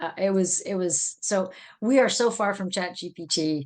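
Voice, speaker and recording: A woman of medium pitch with a California accent, against a quiet background. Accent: broad A of a California native. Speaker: adult school teacher. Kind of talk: casual interview chat. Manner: animated.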